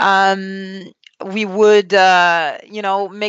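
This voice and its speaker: This woman speaks with a Quebec accent. Her pitch is medium. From Quebec, Canada. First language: French. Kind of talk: interview testimony.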